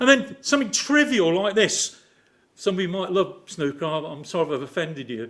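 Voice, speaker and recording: Speaking at a fairly quick pace with an English accent, a man uses a high, animated voice with very wide pitch swings and big swings in loudness. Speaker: lay preacher. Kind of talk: sermon.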